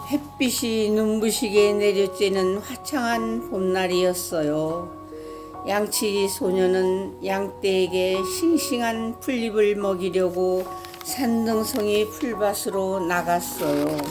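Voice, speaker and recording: A woman talks at a very slow pace with medium pitch, ordinary pitch variation, and very even loudness, with music in the background. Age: old. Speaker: storyteller. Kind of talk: children's story reading.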